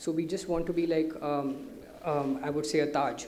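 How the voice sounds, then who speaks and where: A man's fairly high-pitched voice with fairly even intonation and audible room echo. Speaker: company director presenting to investors. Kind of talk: investor presentation. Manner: fast.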